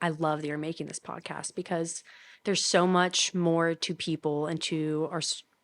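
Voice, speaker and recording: In a quiet background, a woman with an American accent speaks at a moderate pace, her fairly low pitch delivered in monotone, flat intonation. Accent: Southern US, noticed in New York. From Kentucky, Louisville. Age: 20s. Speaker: college student. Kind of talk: casual chat.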